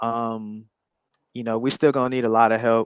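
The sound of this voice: In a Chicago accent, a man of medium pitch speaks at a fairly quick pace with fairly even intonation, the sound dry and close with no echo against a quiet background.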